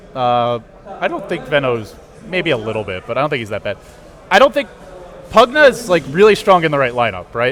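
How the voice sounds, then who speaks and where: With an American accent and very wide pitch swings, a man of fairly high pitch talks over noticeable background noise. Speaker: esports caster. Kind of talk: casual post-match analysis.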